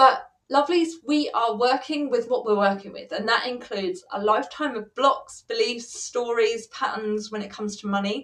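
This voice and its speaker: A woman with an English accent speaks at a high pitch, her intonation lively and her loudness swinging widely. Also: moderate pace. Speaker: money coach. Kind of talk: live stream chat.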